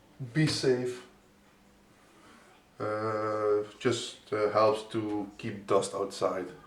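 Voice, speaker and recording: A man speaks at a very slow pace with fairly even intonation and long, frequent pauses. Audible room echo is present. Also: fairly low pitch for a man. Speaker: PC building tutorial maker. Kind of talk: tutorial. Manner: halting, many fillers and restarts.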